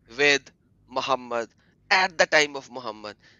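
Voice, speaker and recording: A man with an Egyptian accent and very wide pitch swings. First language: Arabic. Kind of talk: livestream discussion. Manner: halting, repeating words.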